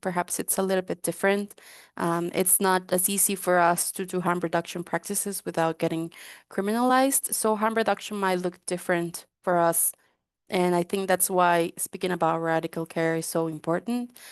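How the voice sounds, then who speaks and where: Fairly low-pitched woman with a Spanish accent and fairly even intonation, dry and close with no echo. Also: moderate pace, quiet background. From Guatemala. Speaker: drug user rights activist. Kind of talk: webinar panel talk.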